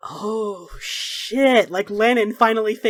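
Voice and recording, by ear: The speaker is reading aloud in a natural voice, and the intonation is fairly even.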